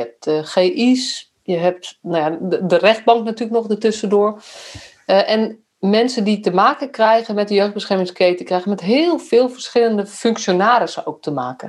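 A normal speaking voice at a moderate pace, with lively intonation. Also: woman. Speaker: podcast host, youth care professional. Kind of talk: casual interview conversation.

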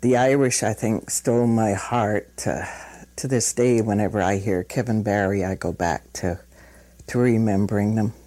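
At a moderate pace, a woman speaks with an extremely low pitch, a dark, mellow tone and fairly even intonation.

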